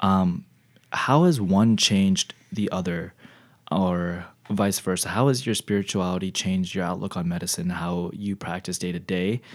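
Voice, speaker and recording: This is a very clean recording with a silent background. The voice is in an American accent. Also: man, very deep, low pitch for a man, moderate pace. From Texas. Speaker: podcast host, future medical student. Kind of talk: casual interview. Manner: enthusiastic.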